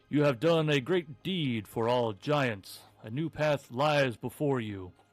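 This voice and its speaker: Music plays in the background as a man uses a booming, put-on character voice at a medium pitch and a fairly slow pace. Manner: solemn, proclaiming.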